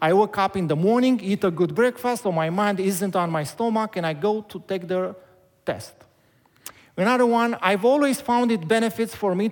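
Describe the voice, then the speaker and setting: High male voice, ordinary in its pitch variation. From Romania. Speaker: pastor. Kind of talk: sermon. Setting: church. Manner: halting.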